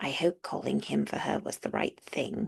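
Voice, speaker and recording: A woman uses a raspy, put-on character voice at a moderate pace. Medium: read story. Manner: soft-spoken, considerate.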